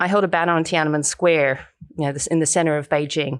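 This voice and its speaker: A fairly quick Australian accent on a very clean recording with a silent background. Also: woman. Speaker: human rights activist and documentary filmmaker. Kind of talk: interview.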